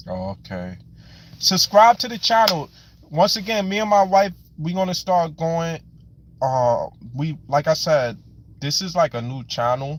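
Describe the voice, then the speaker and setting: A man with a New York accent speaks at a high pitch and a fairly slow pace. Long, frequent pauses break his speech, and his loudness swings widely. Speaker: live stream host. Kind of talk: live stream chat.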